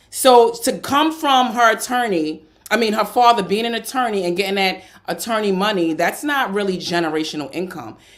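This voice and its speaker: A woman with a slight New York accent talks at a fairly quick pace with lively intonation. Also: medium pitch for a woman. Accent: New York tinge. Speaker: podcast co-host. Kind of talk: casual chat. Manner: blunt, direct.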